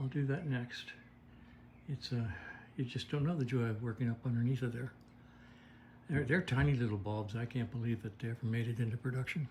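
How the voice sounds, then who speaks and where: Speaking at a fairly quick pace yet with long, frequent pauses, a man uses a somewhat breathy voice at a medium pitch and fairly even intonation. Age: 80s+. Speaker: vintage motorcycle mechanic. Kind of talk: workshop video log. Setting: in his motorcycle workshop. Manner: casual, halting with fillers.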